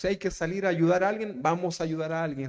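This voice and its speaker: This is a man talking. His voice sits at a high pitch. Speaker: pastor. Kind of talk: sermon. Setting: church.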